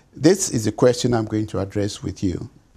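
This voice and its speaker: Somewhat breathy male voice, dark and mellow in tone. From Ghana. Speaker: physician and genetics professor; genetics professor. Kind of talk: lecture. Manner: formal. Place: home room.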